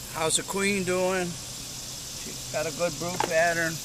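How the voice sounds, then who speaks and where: A man speaks at a high pitch. Audible room echo and noticeable background noise surround the voice. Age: 70s. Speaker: beekeeper. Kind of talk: tutorial. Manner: casual.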